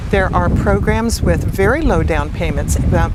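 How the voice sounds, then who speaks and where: Through noticeable background noise and audible room echo, a woman talks at a moderate pace. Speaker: real estate broker. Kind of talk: interview. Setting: outdoors on a beach.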